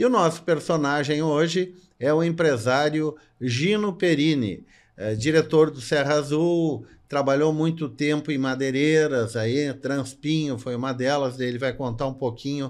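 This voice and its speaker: A man speaks at a fairly slow pace with a fairly high pitch and a normal speaking voice. The recording is very clean, with a silent background. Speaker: podcast host and interviewer.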